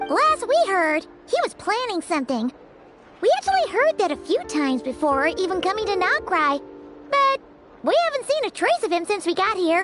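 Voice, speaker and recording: In a put-on character voice with an extremely high pitch, the speaker goes at a moderate pace over clear music in the background. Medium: machinima. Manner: casual, direct.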